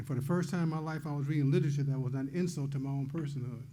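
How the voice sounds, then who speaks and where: The man's voice is fairly high in pitch, with a dark, mellow tone and a somewhat breathy quality. He talks at a fairly quick pace with monotone, flat intonation, and audible room echo surrounds him. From US Midwest, Detroit, Michigan. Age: 80s+. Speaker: poet and publisher, award recipient. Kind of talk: acceptance speech.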